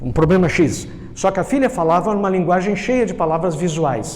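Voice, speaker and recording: Moderately paced speech from a high-voiced man, amid noticeable background noise and audible room echo. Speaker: NLP trainer. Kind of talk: lecture.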